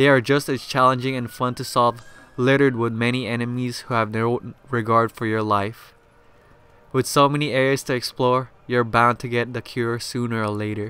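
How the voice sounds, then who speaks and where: At a moderate pace, a man talks in a medium-pitched voice with monotone, flat intonation. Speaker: video game reviewer. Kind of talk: game review narration. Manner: stuttering.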